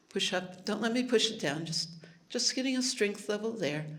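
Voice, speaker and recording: A woman's animated tone at medium pitch, with lively intonation, a fairly quick pace and audible room echo. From Hawaii. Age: 70s. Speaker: health technology speaker. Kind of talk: live presentation with demonstration.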